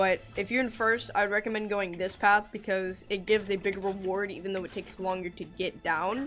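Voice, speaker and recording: Talking at a fairly quick pace with hardly any pauses, a woman keeps a medium pitch. Her intonation stays fairly even. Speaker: gaming youtuber. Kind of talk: tutorial. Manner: fast; halting.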